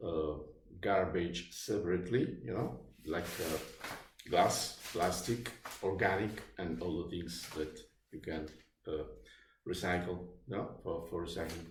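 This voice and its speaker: With an Italian accent, a man talks in a very deep, low pitch that is somewhat breathy, with ordinary pitch variation and audible room echo. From Naples, southern Italy. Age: 50s. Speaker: vlogger. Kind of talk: personal testimony. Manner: halting, many fillers.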